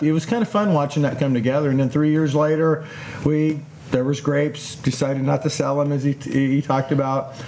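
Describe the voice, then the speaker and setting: A man speaks with a fairly high pitch. Noticeable background noise runs under his voice. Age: 60s. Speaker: winemaker. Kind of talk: casual chat. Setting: outdoors.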